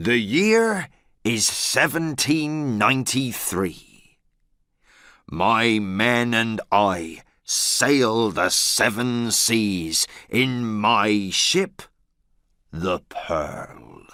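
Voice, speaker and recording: A man speaks in a put-on character voice at a medium pitch. His pace is very slow. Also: very clean recording, silent background. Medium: read story.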